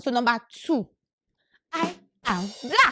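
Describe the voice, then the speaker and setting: A woman with a Nigerian accent is heard in a dry, close sound with no echo. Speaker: graduate student. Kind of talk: casual talk to camera.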